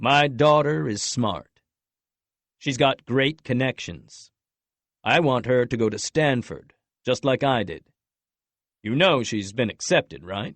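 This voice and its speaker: This man uses a resonant, put-on character voice at a medium pitch with lively intonation. He goes at a fairly slow pace, with long, frequent pauses. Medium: read story. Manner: cold, polite, condescending.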